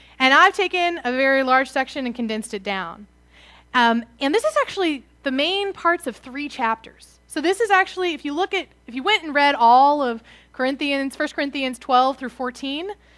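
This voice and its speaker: A woman uses a raised, projected voice at a high pitch, with a bright, sharp tone and lively intonation. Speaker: preacher. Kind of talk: sermon.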